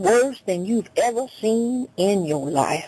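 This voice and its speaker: Speaking at a very slow pace, a woman talks. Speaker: radio preacher. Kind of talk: sermon preached on radio.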